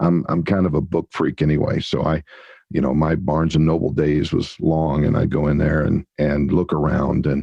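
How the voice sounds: At a moderate pace, a man speaks with an extremely low pitch, a dark, mellow tone with a slightly husky edge, vocal fry, and little pitch movement.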